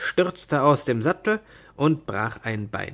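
There's lively intonation from this man. He speaks at a fairly slow pace.

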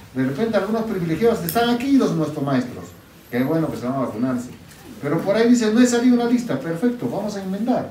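Very fast and high-pitched, a man's voice swings very widely in pitch, with audible room echo and light background noise. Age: 50s. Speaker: regional governor. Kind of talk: public speech. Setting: health centre event. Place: hall. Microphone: camera far.

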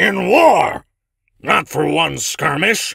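A man talks in a fairly high-pitched voice. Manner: angry, scolding.

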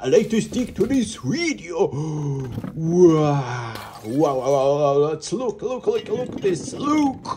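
The speaker is a man. He is doing a put-on character voice. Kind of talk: comic overacting. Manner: frantic, exclamatory, overexcited.

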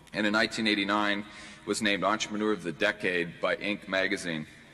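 With music playing in the background, a man talks at a fairly quick pace in a fairly low pitch. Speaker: conference host introducing keynote. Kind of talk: formal introduction speech. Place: hall. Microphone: podium.

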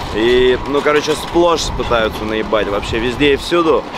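Loud background noise surrounds a man speaking in a dry sound with no echo. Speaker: travel food vlogger. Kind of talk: casual vlog chat. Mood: relaxed, wry complaining. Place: street.

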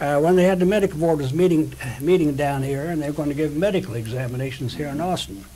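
Over light background noise, a man talks very fast. His pitch varies in an ordinary way. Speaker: osteopathic physician. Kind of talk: oral history interview. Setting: his office. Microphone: old recording.

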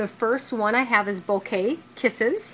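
A woman speaks at a moderate pace over light background noise. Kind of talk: product walkthrough commentary. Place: factory. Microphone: phone near.

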